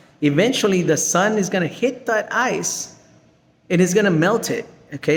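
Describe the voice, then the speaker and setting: The intonation is lively and the tone animated. The pace stays moderate. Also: man. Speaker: science teacher. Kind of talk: lesson.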